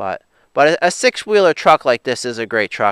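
Speaking at a moderate pace, the voice sounds dry with no echo over a quiet background. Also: man. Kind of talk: casual vlog chat. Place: open country. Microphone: phone near.

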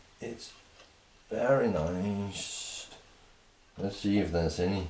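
A man's fairly low pitch with ordinary pitch variation at a very slow pace, with audible room echo and light background noise. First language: not English. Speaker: woodworker. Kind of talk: casual product review while unboxing and testing. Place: workshop. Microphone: camera far.

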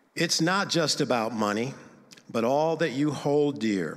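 This man speaks at a medium pitch with ordinary pitch variation. His pace is fairly slow, and the background is quiet. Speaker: church member sharing about giving and reading his own poem. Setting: church service, in the building. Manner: earnest, rhythmic, measured, sing-song rhyme cadence. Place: church. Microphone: handheld.

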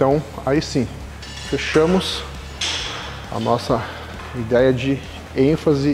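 A man speaks over light background noise. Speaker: coach. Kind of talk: tutorial. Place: gym. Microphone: lapel.

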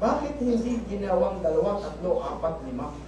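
An animated man at a fairly slow pace, with audible room echo and noticeable background noise. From Philippines. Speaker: preacher. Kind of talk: sermon. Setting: church. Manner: animated, rhetorical call-and-response, asking the congregation questions; repeats points for emphasis, mixing Tagalog and English. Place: church. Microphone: camera far.

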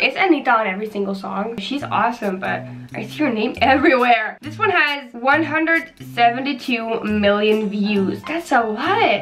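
A woman's voice with big swings in loudness, music in the background. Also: lively intonation, moderate pace. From Netherlands. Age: young. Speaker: YouTuber. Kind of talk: casual talk to camera. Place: home room. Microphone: phone near.

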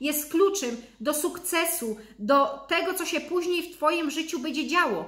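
Speaking with a Silesian accent at a moderate pace, a woman with an extremely high pitch sounds animated, with audible room echo over a quiet background. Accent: Silesian-accented Polish. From Upper Silesia, Poland. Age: 30s. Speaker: lifestyle vlogger. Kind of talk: motivational vlog talk. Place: home room. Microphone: webcam.

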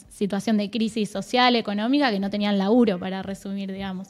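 The woman talks at a moderate pace. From Argentina. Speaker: provincial youth director, government official; guest. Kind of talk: casual interview chat. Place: studio. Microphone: studio mic.

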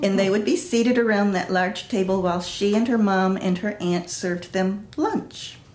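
A woman speaks at a moderate pace with an American accent. Background noise is noticeable. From US Midwest, Chicago. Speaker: longtime neighborhood resident and artist. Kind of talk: oral history interview. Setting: at her home. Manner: reflective storyteller, frequent 'um' fillers.

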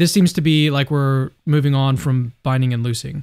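Against a quiet background, a man speaks at a fairly quick pace in a fairly high pitch. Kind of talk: casual dialogue on theology. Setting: livestreamed video call. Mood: calm, thoughtful. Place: home room. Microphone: studio mic.

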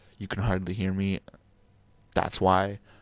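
Quiet, very deep, low male voice at a moderate pace, monotone and flat, in a very clean recording with a silent background. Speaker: gaming YouTuber. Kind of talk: casual channel update monologue. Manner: halting, many fillers; speaking quietly on purpose.

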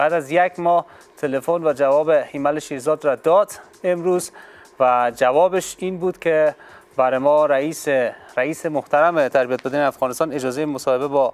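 Speaking at a moderate pace, a man with an unremarkable speaking voice keeps a fairly high pitch and fairly even intonation. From Afghanistan. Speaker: sports TV host. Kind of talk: TV talk show. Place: studio. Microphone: lapel.

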